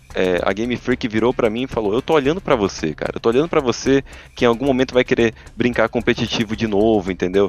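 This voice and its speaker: Talking very fast, a man uses ordinary pitch variation. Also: medium pitch for a man, dry, close sound with no echo. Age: 20s. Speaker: podcast co-host. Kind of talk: casual chat. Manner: animated.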